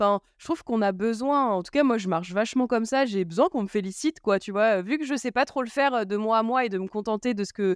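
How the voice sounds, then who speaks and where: Talking very fast with hardly any pauses, a woman at a fairly high pitch shows ordinary pitch variation, in a dry, close sound with no echo. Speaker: podcast host. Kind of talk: casual chat. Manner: loud.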